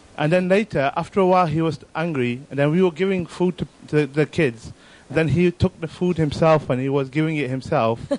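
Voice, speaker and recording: A man talks at a fairly quick pace with hardly any pauses, in an unremarkable speaking voice. His pitch sits fairly high, with ordinary variation. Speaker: audience member. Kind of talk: anecdote.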